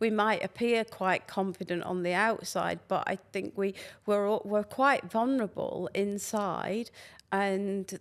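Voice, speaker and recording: In a Lancashire accent, a woman talks at a medium pitch and a fairly slow pace in a very clean recording with a silent background. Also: fairly even intonation. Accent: Northern English (Lancashire). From Lancashire, England. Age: 60s. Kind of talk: podcast interview answer.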